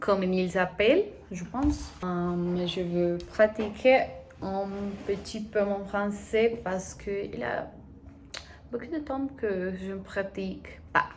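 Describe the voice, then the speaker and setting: With long, frequent pauses, a woman talks at a very slow pace in a medium pitch with ordinary pitch variation. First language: Spanish (speaking French). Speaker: language-learning vlogger. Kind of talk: casual vlog, language practice. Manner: halting, hesitant.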